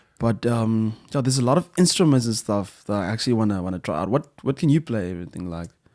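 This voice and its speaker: Very fast speech in a Zimbabwean accent with hardly any pauses, on a very clean recording with a silent background. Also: man, medium pitch for a man, lively intonation. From South Africa (Western Cape, Swellendam), born in Zimbabwe. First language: Shona. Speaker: musician. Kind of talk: casual chat.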